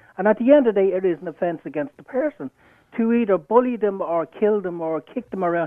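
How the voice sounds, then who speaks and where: A man talks at a very fast pace in an Irish accent. His pitch is high, and his intonation is lively. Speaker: caller. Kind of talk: heated debate. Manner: animated.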